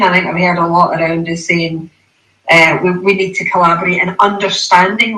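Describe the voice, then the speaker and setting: A medium-pitched woman with a Scottish accent and fairly even intonation. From Scotland. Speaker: panel speaker on hydrogen and aviation. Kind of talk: panel discussion.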